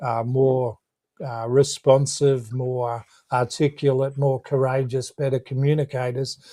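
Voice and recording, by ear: A man speaks fairly slowly at a medium pitch, with little pitch movement and a dark, mellow tone.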